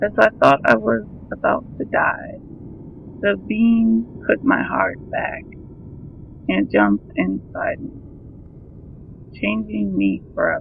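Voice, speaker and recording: Against noticeable background noise, a man talks at a very slow pace with long, frequent pauses. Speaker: horror story narrator. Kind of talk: horror story reading.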